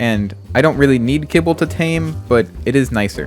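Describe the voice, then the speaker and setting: With music playing behind him, a man speaks at a moderate pace, his pitch swinging very widely. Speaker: gaming youtuber. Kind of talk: gameplay commentary. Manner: casual.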